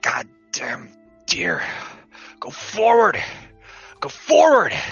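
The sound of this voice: A raspy, put-on character voice, fairly high in pitch, speaks at a very slow pace. Faint music plays in the background.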